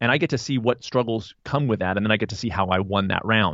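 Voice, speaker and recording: A man's unremarkable speaking voice, medium in pitch, with ordinary pitch variation. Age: 50s. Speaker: nutritionist and running coach. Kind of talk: casual chat.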